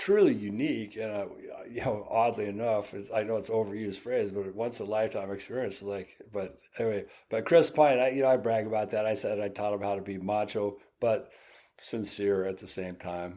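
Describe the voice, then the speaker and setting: Talking at a fairly quick pace, a man with an American accent has a fairly low pitch, a dark, mellow tone and fairly even intonation. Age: 70s. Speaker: winery owner. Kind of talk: interview. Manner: casual, rambling.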